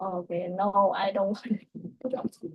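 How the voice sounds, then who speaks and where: A woman with a Vietnamese accent speaks at a fairly slow pace in a somewhat breathy voice with fairly even intonation. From southern Vietnam, Saigon. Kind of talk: casual chat.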